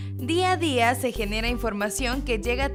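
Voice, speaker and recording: A woman speaks fairly slowly while music plays in the background. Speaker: narrator of a documentary about radio. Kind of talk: documentary narration.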